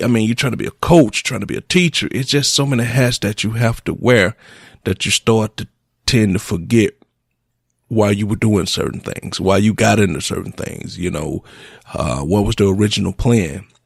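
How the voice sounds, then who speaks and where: A man with vocal fry speaks at a moderate pace, his pitch fairly low. His intonation is lively, and the sound is dry and close with no echo. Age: 40s. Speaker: radio host. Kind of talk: reflective monologue. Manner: halting.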